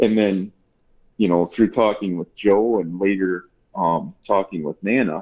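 A man's fairly low voice, a plain, everyday voice, at a moderate pace. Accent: American. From US Midwest. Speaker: pipe maker. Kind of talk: interview.

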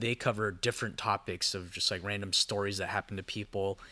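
A man with an ordinary speaking voice and an American accent, fairly low in pitch, fairly quick and fairly even in intonation, on a very clean recording with a silent background. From Southern California (Orange County). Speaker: singer-songwriter and producer. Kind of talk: casual interview. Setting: studio.

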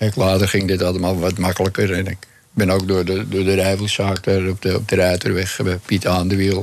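Over noticeable background noise, a man with a very deep, low pitch speaks at a moderate pace in a monotone, flat intonation, with hardly any pauses. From Amsterdam, Netherlands. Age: 80s+. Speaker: retired champion cyclist. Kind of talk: radio interview.

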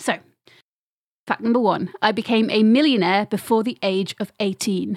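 A woman speaks at a fairly slow pace in an ordinary speaking voice, fairly high-pitched with ordinary pitch variation, recorded dry and close with no echo. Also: very clean recording, silent background. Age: 30s. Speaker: podcast host and quiz master. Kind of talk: casual chat.

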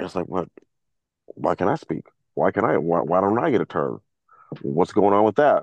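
A man with a very deep, low pitch and vocal fry speaks with lively intonation and long, frequent pauses. The background is quiet. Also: moderate pace. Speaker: combat veteran. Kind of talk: coaching session. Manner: halting.

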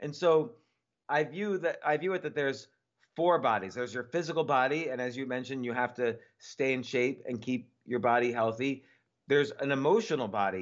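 Using a plain, everyday voice, a man speaks at a fairly quick pace and medium pitch with ordinary pitch variation. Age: 50s. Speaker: entrepreneur and author. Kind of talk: interview.

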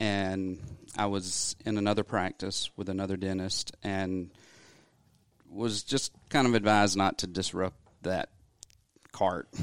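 In a very clean, dry, close recording with no echo and a silent background, a man with a Southern US accent speaks fairly slowly in a fairly low, flat monotone, with long, frequent pauses. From US South, Athens, Georgia. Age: 40s. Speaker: dentist. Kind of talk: interview.

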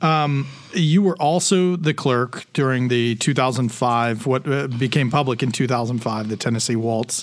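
A man speaks at a fairly slow pace with ordinary pitch variation. He has a normal speaking voice at a medium pitch. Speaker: podcast host. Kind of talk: casual interview chat.

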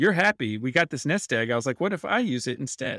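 An ordinary speaking voice from a man with an American accent, medium pitch and a fairly quick pace, on a very clean recording with a silent background and a dry, close sound with no echo. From North Carolina, US South. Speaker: game designer. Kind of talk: casual interview. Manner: casual, filler-heavy.

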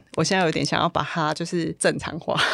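The woman has a plain, everyday voice, fairly low in pitch with ordinary variation, speaking at a moderate pace in a dry, close sound with no echo. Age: 40s. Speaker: office worker. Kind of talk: interview.

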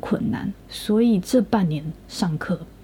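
A woman with a medium pitch talks in a lively, rising-and-falling way while noticeable noise sounds in the background. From Taiwan. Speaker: podcast co-host, student in Japan. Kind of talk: casual chat.

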